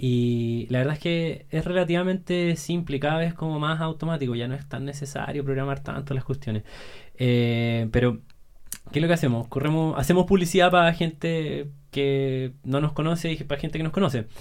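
Here a man with a plain, everyday voice talks at a moderate pace, his pitch fairly high with ordinary pitch variation. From Chile, Santiago. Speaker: entrepreneur selling online courses. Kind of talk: casual interview chat.

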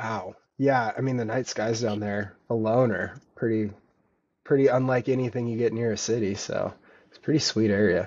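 Speaking with an American accent at medium pitch and a moderate pace, a man uses an ordinary speaking voice with big swings in loudness. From US Pacific Northwest (Vancouver, Washington). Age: 30s. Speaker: thru hiker and ultra runner. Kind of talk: casual interview.

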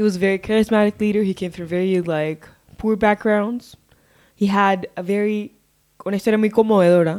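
Fairly even intonation and a medium pitch shape this woman's speech, which comes at a fairly quick pace. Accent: Spanish. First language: Spanish. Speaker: podcast co-host. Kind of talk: casual chat.

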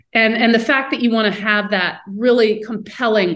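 An American accent with audible room echo. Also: woman. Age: 40s. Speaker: podcast host. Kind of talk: interview.

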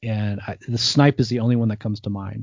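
A normal speaking voice from a man with an American accent, medium in pitch, at a moderate pace. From US Northeast, New Jersey. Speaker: podcast host, hunter and cook. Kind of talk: casual interview chat.

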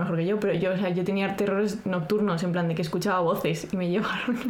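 Very fast, monotone, flat speech comes through noticeable background noise and audible room echo. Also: woman. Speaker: podcast co-host. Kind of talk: casual chat with read-out script passages. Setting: home recording, not a studio.

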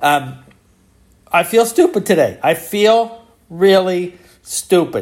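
Speaking at a very slow pace, this man leaves long, frequent pauses. His pitch is high, with ordinary variation. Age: 60s. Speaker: podcaster. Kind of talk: casual monologue. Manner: halting.

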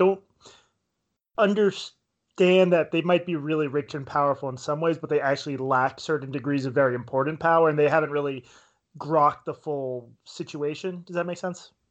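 A man speaks in a normal speaking voice at a fairly quick pace. His pitch is fairly high and varies in an ordinary way. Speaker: podcast host interviewer. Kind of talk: casual interview conversation.

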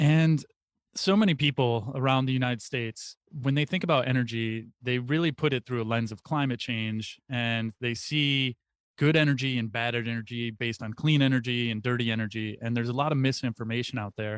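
A man in a normal speaking voice, medium pitch, ordinary pitch variation and a fairly quick pace, with a dry, close sound with no echo and a very clean recording over a silent background. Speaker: podcast host and interviewer. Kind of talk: interview, host questions.

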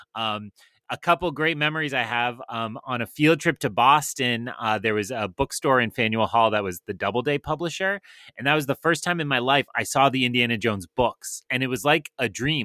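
A man talks at a fairly quick pace in a bright, sharp tone with medium pitch and lively intonation. The recording is very clean with a silent background and dry, close sound with no echo. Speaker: podcast co-host, teacher. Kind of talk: casual chat.

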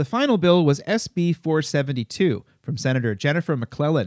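On a very clean recording with a silent background and a dry, close sound with no echo, a man with an ordinary speaking voice talks at a moderate pace, with lively intonation and a fairly high pitch. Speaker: local news podcast host. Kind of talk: news reading.

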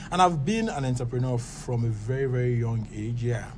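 A man speaks in a Nigerian accent at a medium pitch and moderate pace. Room echo is audible. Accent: Nigerian (Yoruba) English. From Lagos, Nigeria. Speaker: startup founder. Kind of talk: interview.

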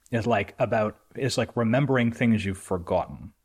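Heard on a very clean recording with a silent background, a man with a normal speaking voice and medium pitch talks at a moderate pace. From Canada. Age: 40s. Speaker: entrepreneur and author. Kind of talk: casual interview.

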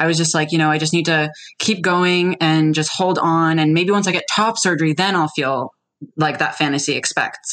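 A woman with an ordinary speaking voice and a fairly low pitch talks at a moderate pace. Her intonation is fairly even and her loudness very even. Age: 20s. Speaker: detransitioned woman sharing her experience. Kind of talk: casual interview conversation.

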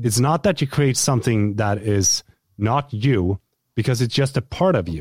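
A man with a Swedish accent speaks at a moderate pace and medium pitch, with lively intonation and a somewhat breathy voice. The sound is dry and close, with no echo. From Sweden. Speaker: YouTuber and content creator. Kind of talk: casual interview. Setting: video call.

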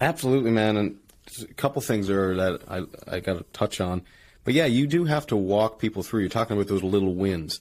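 Speaking in a normal speaking voice, this person moves at a fairly quick pace with lively intonation. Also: man, fairly low pitch for a man, very clean recording, silent background. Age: 20s. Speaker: podcast host and engineer, strength athlete. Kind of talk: casual chat.

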